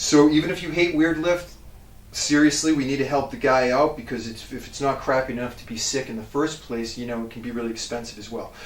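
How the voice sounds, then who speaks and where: Words come at a very fast pace, with big swings in loudness. Noticeable background noise and audible room echo surround the voice. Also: man, fairly high pitch for a man, ordinary pitch variation. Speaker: strength coach. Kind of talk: casual gym tutorial. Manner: casual, filler-heavy.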